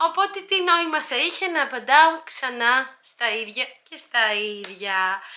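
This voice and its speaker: Very wide pitch swings in a woman's raised, projected voice. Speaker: YouTuber. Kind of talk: Q&A vlog. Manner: hesitant, many filler sounds.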